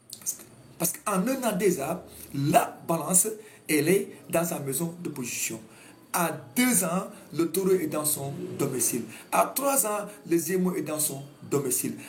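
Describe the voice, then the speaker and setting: A man with a Senegalese accent, high-pitched and lively in intonation, at a fairly slow pace with long, frequent pauses. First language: Wolof (speaking French). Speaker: astrologer. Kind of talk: talk show monologue. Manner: halting.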